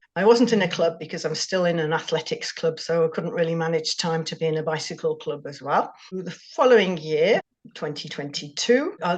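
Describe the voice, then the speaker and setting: A woman with an English accent speaks with lively intonation. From England. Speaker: amateur cyclist. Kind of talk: interview.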